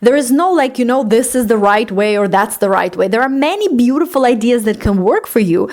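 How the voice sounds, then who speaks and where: A woman's fairly high, lively voice comes through noticeable background noise. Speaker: life coach and podcast host. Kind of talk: solo podcast talk. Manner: hesitant fillers.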